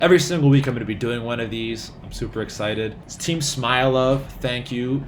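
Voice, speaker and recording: Over noticeable background noise and audible room echo, a man with a medium pitch talks at a fairly quick pace in an animated tone. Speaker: doctor vlogger. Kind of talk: casual vlog.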